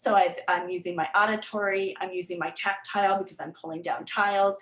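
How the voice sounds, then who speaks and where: A woman speaks at a moderate pace with an American accent. Her pitch sits in the medium range. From Florida, US. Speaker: literacy tutor and learning center owner. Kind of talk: presentation workshop. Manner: hesitant with many fillers.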